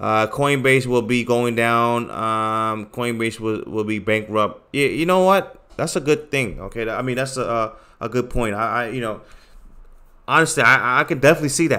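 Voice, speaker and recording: A man's bright, sharp voice in a New York accent, on a very clean recording with a silent background. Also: medium pitch for a man, ordinary pitch variation, moderate pace. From New York City. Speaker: crypto trading streamer and trading course seller. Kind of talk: live stream chat and sales pitch. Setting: live stream. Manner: halting, many fillers and repeats.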